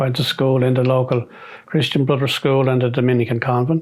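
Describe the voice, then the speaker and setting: A man with a Dublin accent speaks at a medium pitch. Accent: Dublin Irish. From Dún Laoghaire, County Dublin, Ireland. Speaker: retired army sergeant, peacekeeping veteran. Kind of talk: oral history interview answer.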